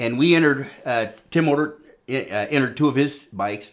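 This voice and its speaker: Pitched in the medium range, a man speaks with ordinary pitch variation. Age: 60s. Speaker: vintage BMX racer. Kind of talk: casual chat. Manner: enthusiastic.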